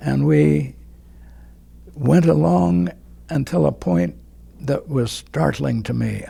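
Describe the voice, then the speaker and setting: Very slowly and somewhat breathily, a man speaks with very wide pitch swings. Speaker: war veteran. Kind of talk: interview answer.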